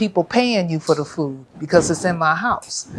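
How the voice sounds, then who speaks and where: A woman with an American accent and a fairly low pitch, at a moderate pace over noticeable background noise. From California, US. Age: 70s. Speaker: vegan chef and restaurant owner. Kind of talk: interview.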